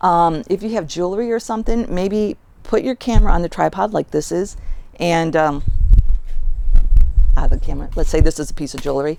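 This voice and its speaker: Mumbling at a fairly quick pace, a woman speaks with ordinary pitch variation. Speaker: collage artist giving video tips. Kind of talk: tutorial. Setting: outdoors in driveway in front of garage. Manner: casual with many fillers, slight mumbling.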